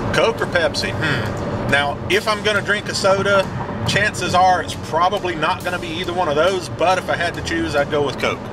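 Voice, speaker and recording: A man at a moderate pace with ordinary pitch variation, dry sound with no echo, and music in the background. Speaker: hobby channel vlogger. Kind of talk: casual vlog chat. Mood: relaxed, joking. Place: car. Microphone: camera far.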